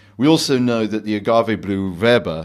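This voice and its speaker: In a very clean recording with a silent background, a man with a plain, everyday voice talks at a moderate pace with ordinary pitch variation. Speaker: bar owner host of tasting. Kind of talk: casual guided tasting. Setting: basement bar.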